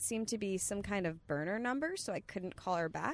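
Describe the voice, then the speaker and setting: A woman talks at a moderate pace with a medium pitch. She has a plain, everyday voice. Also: very clean recording, silent background. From Long Island, New York. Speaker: comedian. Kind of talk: casual chat. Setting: in a car.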